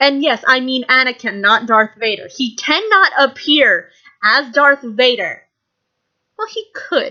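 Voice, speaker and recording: With a raised, projected voice, a woman speaks at a high pitch in a bright, sharp tone. Her pitch swings very widely, and her pace is fairly slow. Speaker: YouTube vlogger. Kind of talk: casual vlog monologue. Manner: animated; loud.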